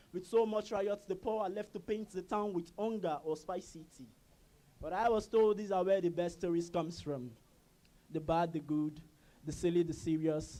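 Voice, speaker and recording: At a moderate pace, a man talks in a high pitch with a dark, mellow tone and ordinary pitch variation. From Nigeria, Lagos (Ajegunle). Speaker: spoken word poet. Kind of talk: poetry performance.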